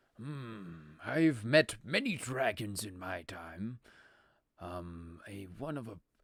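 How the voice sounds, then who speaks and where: A man puts on a raspy character voice, fairly low in pitch, at a very slow pace. The recording is very clean with a silent background. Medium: actual play. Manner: hesitant, filler-heavy, polite.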